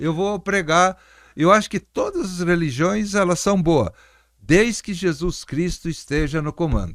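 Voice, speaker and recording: On a very clean recording with a silent background, a man with a high pitch speaks at a fairly slow pace. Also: ordinary pitch variation. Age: 70s. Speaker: pastor and former city councillor. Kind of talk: interview conversation.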